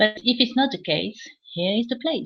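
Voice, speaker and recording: A woman with a French accent speaks in a somewhat breathy voice. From France. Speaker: English teacher. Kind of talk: casual live chat. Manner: halting, many fillers.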